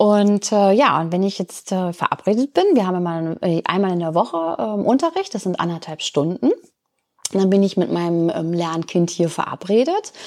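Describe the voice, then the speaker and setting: With an unremarkable speaking voice, a woman talks at a moderate pace, her medium pitch showing ordinary variation. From Lower Saxony, Germany. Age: 50s. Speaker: volunteer tutor. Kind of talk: interview.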